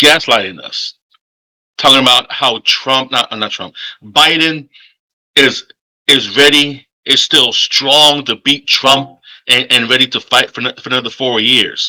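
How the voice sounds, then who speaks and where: A man with a fairly high pitch and a bright, sharp tone speaks at a fairly slow pace with fairly even intonation, in a dry, close sound with no echo. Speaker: political commentary vlogger. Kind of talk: casual political monologue.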